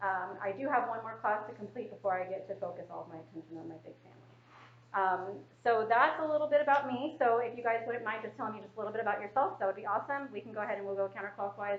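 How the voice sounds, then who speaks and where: Her fairly high voice races along very quickly, with normal pitch movement and big jumps in volume. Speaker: trainer. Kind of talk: training session. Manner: fast.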